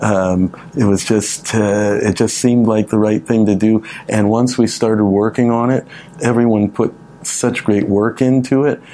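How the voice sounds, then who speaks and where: A man with an American accent talks at a moderate pace and a fairly low pitch, with fairly even intonation. His loudness stays very even over noticeable background noise. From American-born, Canada. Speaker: musician. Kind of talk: radio interview, casual chat. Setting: radio studio.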